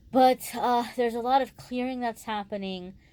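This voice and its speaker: A woman's tone is dark and mellow. She speaks at a moderate pace. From California. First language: not English. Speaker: tarot reader. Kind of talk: astrology and tarot forecast. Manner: casual, many fillers and restarts.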